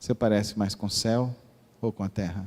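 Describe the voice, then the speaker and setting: A man with a Mato Grosso do Sul accent speaks at a moderate pace in a fairly low pitch, with a dark, mellow tone and monotone, flat intonation, the sound dry and close with no echo. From Mato Grosso do Sul, Brazil (Dourados). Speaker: pastor. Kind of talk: sermon.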